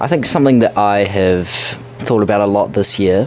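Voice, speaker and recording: A man speaks at a fairly quick pace in a fairly low voice, with noticeable background noise behind him. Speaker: podcast co-host, college soccer player. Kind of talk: casual chat.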